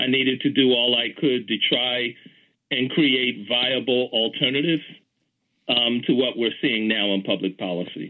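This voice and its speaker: Speaking at a moderate pace with an American accent, a man has an unremarkable speaking voice and ordinary pitch variation. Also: medium pitch for a man. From US Northeast, Philadelphia. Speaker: city official and urban planning professor. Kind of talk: interview. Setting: phone call.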